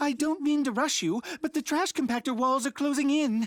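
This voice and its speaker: This is a cartoonish character voice pitched high. It moves at a moderate pace. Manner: polite, mild.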